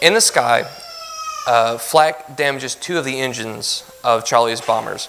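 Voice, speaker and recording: A man speaks in a medium register while background noise is clearly heard. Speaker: lay speaker giving a church lesson. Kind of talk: sermon-style lesson. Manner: fast when nervous.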